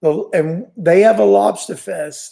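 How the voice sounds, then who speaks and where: In a New York accent, a man speaks with a high pitch and lively intonation. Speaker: fishing channel host. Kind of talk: live stream chat. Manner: casual, halting.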